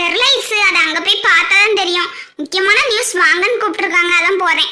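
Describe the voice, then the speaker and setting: In a cartoonish character voice pitched extremely high, a woman speaks at a moderate pace with audible echo. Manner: forthright.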